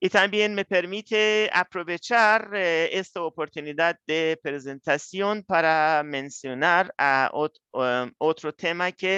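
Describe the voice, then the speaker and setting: This man has a non-native accent and a high pitch. He talks at a very slow pace, with a dry, close sound and no echo. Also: ordinary pitch variation, hardly any pauses. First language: not Spanish (speaking Spanish). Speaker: researcher. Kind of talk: lecture. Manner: halting.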